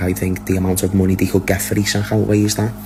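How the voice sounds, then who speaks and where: Over noticeable background noise, a man talks at a very fast pace. His pitch is very deep and low, and his intonation is monotone and flat. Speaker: football transfer news commentator. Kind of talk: casual video update.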